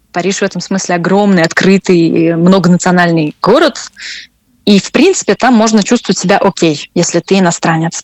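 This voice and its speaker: A woman's medium-pitched voice at a moderate pace, with very even loudness and fairly even intonation. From Russia. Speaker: French teacher. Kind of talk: interview conversation. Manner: hesitant, with repetitions.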